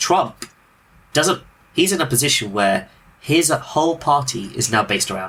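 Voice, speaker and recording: In a British accent, a man speaks at a moderate pace and fairly high pitch with a bright, sharp tone and vocal fry. His pitch swings very widely, his loudness shifts a lot, and he leaves long, frequent pauses. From Britain. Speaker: podcast host. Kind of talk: casual political discussion.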